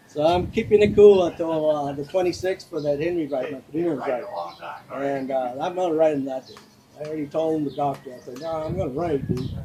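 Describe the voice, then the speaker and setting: Over noticeable background noise, a man talks at a fairly quick pace in a fairly high pitch, with big swings in loudness. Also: ordinary pitch variation. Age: 70s. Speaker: motorcycle club vice president. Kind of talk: interview. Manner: halting.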